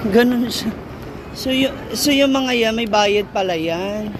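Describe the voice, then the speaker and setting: Amid noticeable background noise and audible room echo, a woman with a fairly high pitch talks at a fairly slow pace with ordinary pitch variation. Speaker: vlogger. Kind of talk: walking vlog narration. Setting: outdoors. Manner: animated.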